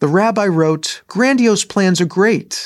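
A man speaks with a Midwestern American accent and lively intonation. The recording is very clean, with a silent background. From Michigan, US. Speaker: rabbi. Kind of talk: sermon; storytelling.

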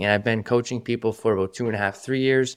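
A man with a normal speaking voice talks at a fairly quick pace, medium pitch and fairly even intonation. The recording is very clean, with a silent background. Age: 20s. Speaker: podcast host and mindset coach. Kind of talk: solo podcast monologue. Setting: studio. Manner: casual, filler-heavy.

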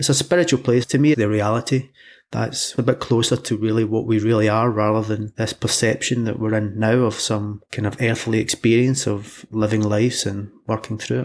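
In a very clean recording with a silent background, a man with a Scottish accent speaks at medium pitch with fairly even intonation. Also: moderate pace, hardly any pauses. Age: 40s. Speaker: hypnotherapist. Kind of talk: interview.

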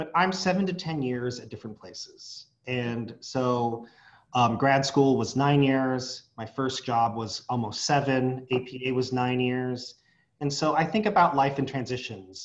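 A plain, everyday voice from a man with an American accent, medium in pitch with ordinary pitch variation, fairly slow, with big swings in loudness. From San Diego, California. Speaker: association executive director, psychologist. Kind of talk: interview.

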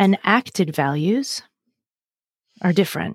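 In a very clean recording with a silent background and a dry, close sound with no echo, a woman speaks with lively intonation. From Massachusetts. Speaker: burnout coach and speaker. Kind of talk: interview conversation. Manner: direct, straight-talking.

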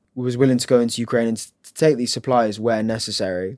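Here a man speaks with an English accent. The intonation is fairly even. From England. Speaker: humanitarian aid volunteer. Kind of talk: interview.

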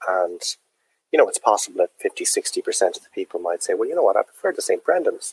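A man speaks at a fairly quick pace with a Dublin accent. The sound is dry and close, with no echo. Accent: Dublin Irish. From Dublin, Ireland. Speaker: drinks entrepreneur, distillery founder. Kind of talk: interview.

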